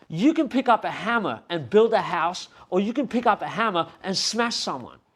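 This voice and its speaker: A man speaks with an Australian accent and a high pitch. His intonation is lively. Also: moderate pace. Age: 50s. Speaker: hip hop artist and club promoter. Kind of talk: casual interview.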